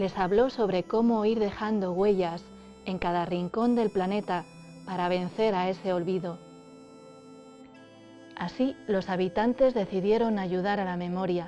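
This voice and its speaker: A woman speaks at medium pitch with fairly even intonation. Her pace is fairly slow with long, frequent pauses, and music plays in the background. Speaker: storyteller. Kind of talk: story narration.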